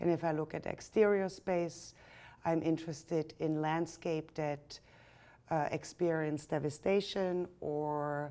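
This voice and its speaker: A woman with a German accent speaks at a fairly slow pace in a monotone, flat intonation. Her voice is very deep and low, with a dark, mellow tone. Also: very clean recording, silent background. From Germany. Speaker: artist and photographer. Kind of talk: interview.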